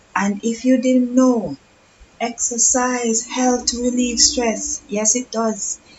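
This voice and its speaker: Speech comes at a very slow pace against noticeable background noise. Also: woman. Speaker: fitness coach. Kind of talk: live stream talk. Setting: live stream. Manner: casual.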